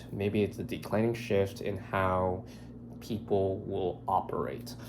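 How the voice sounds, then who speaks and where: Room echo is audible as a man speaks. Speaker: vlogger. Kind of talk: casual vlog monologue. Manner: rambling, hesitant with fillers.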